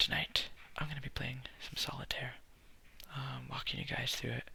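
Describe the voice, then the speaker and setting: A whisper in a relaxed tone at a fairly quick pace. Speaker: ASMR content creator. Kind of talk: ASMR solitaire gameplay, soft-spoken explanation to camera. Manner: soft-spoken, relaxed.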